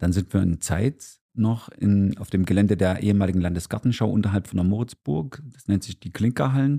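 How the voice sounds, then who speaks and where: Fairly quick speech from a man, fairly low in pitch and ordinary in pitch variation. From Gera, Thuringia, eastern Germany. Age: 50s. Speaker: dance teacher and business owner. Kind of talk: casual interview. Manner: animated.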